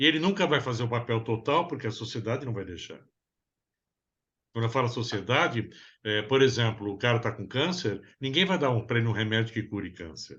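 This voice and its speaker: Lively intonation marks this man's medium-pitched delivery at a fairly quick pace. It is a normal speaking voice. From Brazil. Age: 60s. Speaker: psychoanalyst therapist. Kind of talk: interview conversation.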